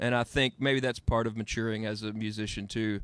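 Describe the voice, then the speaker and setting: A fairly low-pitched man at a fairly quick pace, in a very clean recording with a silent background. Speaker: singer-songwriter. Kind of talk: casual interview. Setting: radio studio.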